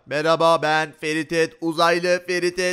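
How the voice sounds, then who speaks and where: This put-on character voice speaks at a fairly slow pace in a monotone, flat delivery. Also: man, high pitch for a man. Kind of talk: put-on alien-like speech.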